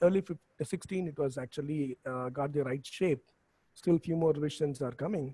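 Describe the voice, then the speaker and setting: Soft-spoken and somewhat breathy, a man with a dark, mellow tone and fairly high pitch talks at a moderate pace with ordinary pitch variation. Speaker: professor. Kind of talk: lecture. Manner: halting. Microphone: too quiet, far from the mic.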